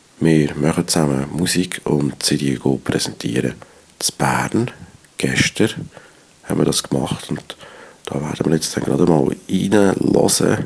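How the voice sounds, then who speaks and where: Amid noticeable background noise, a man with a very deep, low pitch speaks fairly slowly, with ordinary pitch variation and long, frequent pauses. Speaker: radio host and rapper. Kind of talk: radio moderation.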